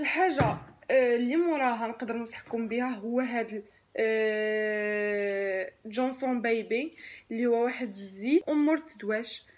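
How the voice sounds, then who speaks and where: Speech at a very slow pace carries ordinary pitch variation. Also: woman, fairly high pitch for a woman. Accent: Moroccan. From Morocco. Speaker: lifestyle vlogger, mother. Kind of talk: product review vlog. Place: home room. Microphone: phone near.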